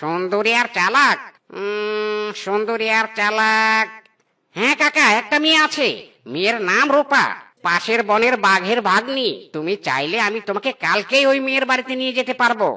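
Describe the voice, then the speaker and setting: Set against a quiet background, a cartoonish character voice talks at a fairly slow pace. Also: female-sounding voice, fairly high pitch for a woman. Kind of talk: comic cartoon acting. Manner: chatty, obliging.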